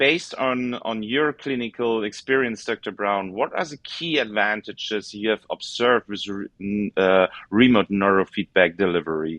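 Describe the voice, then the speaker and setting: A man speaks with a German accent and a fairly low pitch. He keeps a moderate pace with hardly any pauses and ordinary pitch variation. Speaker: podcast host. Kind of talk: interview. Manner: halting.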